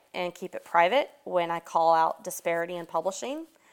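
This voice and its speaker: A woman in a Southern US accent, medium pitch, moderate pace, on a very clean recording with a silent background. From US South, Atlanta. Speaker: horror author. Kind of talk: interview.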